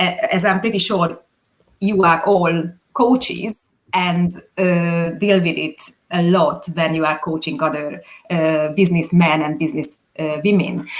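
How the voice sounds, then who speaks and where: A woman with a Hungarian accent speaks at a fairly low pitch. Her pace is fairly slow, with ordinary pitch variation. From Hungary. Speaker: videographer. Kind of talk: interview. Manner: halting.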